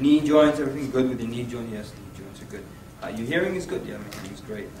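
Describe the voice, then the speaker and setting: A man speaks at a very fast pace, with noticeable background noise and audible room echo. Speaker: Islamic preacher and workshop trainer. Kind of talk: workshop lecture. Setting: room with live audience. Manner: animated.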